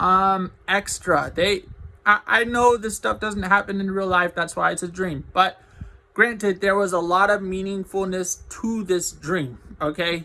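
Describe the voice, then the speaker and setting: A man talks at a high pitch in a raised, projected voice with a bright, sharp tone. His pace is fairly slow and his intonation fairly even. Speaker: vlogger. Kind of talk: personal vlog monologue. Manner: halting.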